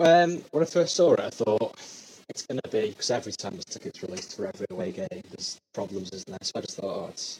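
The speaker talks very fast in a somewhat breathy voice, with very wide pitch swings. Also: man. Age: 20s. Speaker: supporter interviewed. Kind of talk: casual interview.

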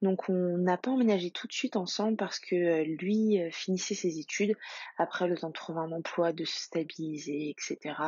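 A woman's fairly low-pitched, ordinary speaking voice with ordinary pitch variation at a moderate pace. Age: 30s. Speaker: mother sharing fertility journey. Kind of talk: testimony.

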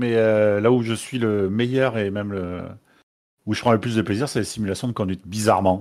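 This man has a normal speaking voice, fairly low in pitch. He talks at a moderate pace with fairly even intonation. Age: 20s. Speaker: gamer interview guest. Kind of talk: interview.

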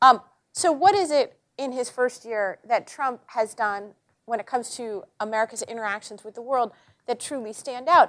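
A woman with a high pitch speaks with ordinary pitch variation and big swings in loudness. The recording is very clean, with a silent background. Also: moderate pace. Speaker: journalist and columnist. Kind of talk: panel talk. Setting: auditorium with live audience. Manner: humorous, conversational.

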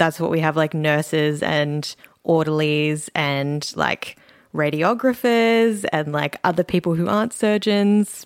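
Over a silent background in a very clean, dry, close recording with no echo, a woman with a very deep, low pitch speaks at a fairly slow pace, with ordinary pitch variation and very even loudness. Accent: Australian. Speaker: doctor. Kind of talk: casual chat. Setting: studio.

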